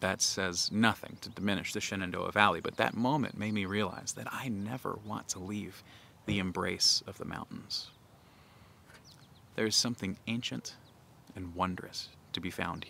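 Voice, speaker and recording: A man with a bright, sharp tone talks at a moderate pace with ordinary pitch variation and long, frequent pauses, in a dry sound with no echo over light background noise. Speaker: pastor. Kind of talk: sermon. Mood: warm, reflective. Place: open country. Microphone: phone near.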